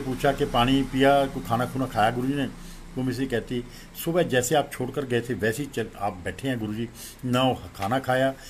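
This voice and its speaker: His pitch is medium for a man. The intonation he uses is fairly even. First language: Punjabi (speaking Hindi). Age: 60s. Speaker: devotee sharing experience. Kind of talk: testimony.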